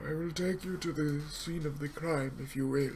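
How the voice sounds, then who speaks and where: A man puts on a character voice with a fairly high pitch. He goes at a moderate pace over clear background noise. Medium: actual play. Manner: formal, prim.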